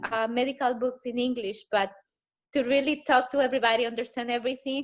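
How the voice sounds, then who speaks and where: On a very clean recording with a silent background, a woman with a Spanish accent speaks at a very fast pace and a high pitch in a monotone, flat intonation. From El Salvador. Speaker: pediatrician. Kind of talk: interview.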